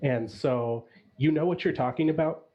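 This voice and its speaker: Somewhat breathy, a man with an American accent speaks at a fairly high pitch. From US Midwest, Chicago. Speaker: judge on a mock pitch panel. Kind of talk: panel feedback on a pitch.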